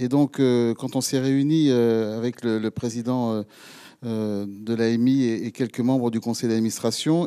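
Fairly slow and fairly even in intonation, a man speaks with a dark, mellow tone. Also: quiet background. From France. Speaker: mayor, rural mayors' association leader; local mayor addressing officials. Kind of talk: speech. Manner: halting. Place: hall. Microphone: handheld.

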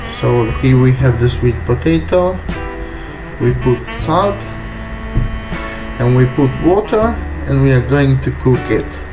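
Clear music plays in the background as a man speaks with a non-native accent. He talks at a very slow pace with long, frequent pauses. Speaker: private chef. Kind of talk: cooking tutorial talk to camera. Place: kitchen. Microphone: camera far.

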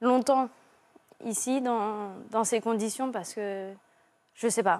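Intonation fairly even, a woman talks in a fairly high pitch. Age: 20s. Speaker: primary school teacher; young teacher, guest. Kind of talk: testimony. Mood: troubled, emotional recounting. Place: studio. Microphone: lapel.

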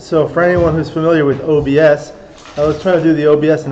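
A man with an American accent and a fairly high pitch speaks in a flat monotone at a moderate pace, with audible room echo and noticeable background noise. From Los Angeles. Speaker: backgammon streamer and commentator. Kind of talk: live commentary. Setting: live stream at a tournament venue.

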